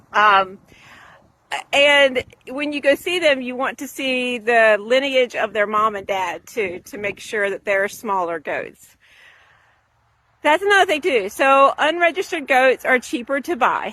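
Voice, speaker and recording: Speaking fairly slowly, a woman uses a high, raised, projected voice with a bright, sharp tone. Her pitch swings very widely. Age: 50s. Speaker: small farmer. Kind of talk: casual tutorial. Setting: outdoors. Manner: conversational, with many fillers.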